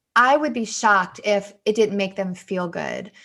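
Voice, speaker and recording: An unremarkable speaking voice moves at a moderate pace with ordinary pitch variation over a quiet background. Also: woman. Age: 40s. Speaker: author. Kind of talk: interview.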